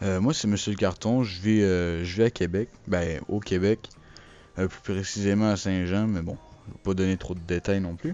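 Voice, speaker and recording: A man speaks at a very deep, low pitch. His pace is moderate and his intonation fairly even. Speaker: gaming YouTuber. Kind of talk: channel announcement monologue. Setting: recording alone over a still image. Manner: hesitant, many fillers.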